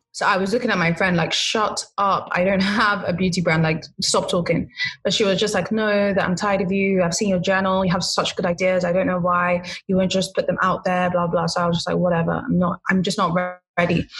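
A woman with a London accent speaks at a fairly quick pace, her medium pitch monotone and flat and her loudness very even. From London, England. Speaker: skincare entrepreneur. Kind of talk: interview.

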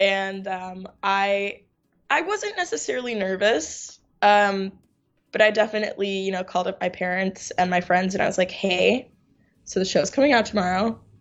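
Using a normal speaking voice with an American accent, a woman speaks at a moderate pace with a medium pitch and ordinary pitch variation. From New York. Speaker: actress. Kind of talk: interview.

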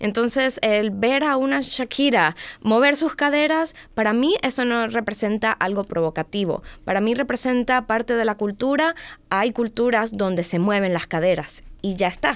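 Speaking at a moderate pace with lively intonation, a woman keeps her loudness very even on a very clean recording with a silent background. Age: 20s. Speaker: domestic violence advocate. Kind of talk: casual chat.

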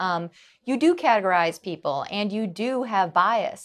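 Speaking at a fairly slow pace, a woman with an American accent has an unremarkable speaking voice, a medium pitch and lively intonation. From US Midwest, Wisconsin. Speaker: psychology professor. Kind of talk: interview.

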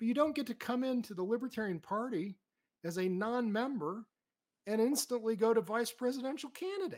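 A man talks at a fairly quick pace with lively intonation. His voice sits extremely high. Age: 60s. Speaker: college professor and political candidate. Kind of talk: casual interview.

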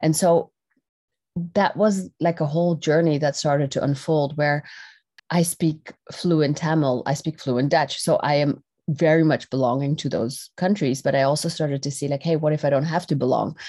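With a dark, mellow tone and a very deep, low pitch, a woman speaks at a moderate pace with fairly even intonation. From Netherlands. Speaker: personal development facilitator and dance company owner. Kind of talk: interview conversation.

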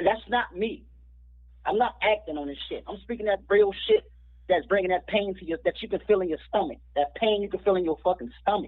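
This man has a high-pitched voice with ordinary pitch variation. He talks at a fairly quick pace. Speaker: independent rapper. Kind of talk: casual interview. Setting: remote call.

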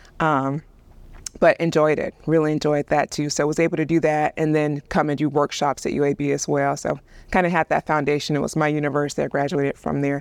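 A woman with a Southern US accent, very deep and low in pitch, in a monotone, flat intonation. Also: dry, close sound with no echo. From US South, Alabama. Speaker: video producer and director. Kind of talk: casual chat. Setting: church.

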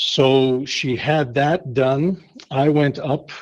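Fairly high in pitch and fairly even in intonation, a man talks with a strong Canadian accent. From Canada, Winnipeg, Manitoba. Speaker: pastor. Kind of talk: casual interview chat.

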